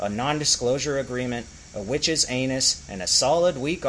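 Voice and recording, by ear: Someone reads aloud in a natural voice. The pitch moves in an ordinary way.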